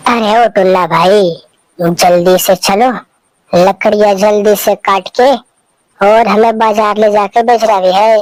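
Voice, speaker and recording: A woman puts on a cartoonish character voice at a medium pitch. She speaks at a fairly slow pace. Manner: drowsy, grumbling.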